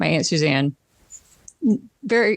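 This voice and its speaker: The speaker talks at a moderate pace with a slight Southern US accent. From US South. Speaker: podcast co-host. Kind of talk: casual chat.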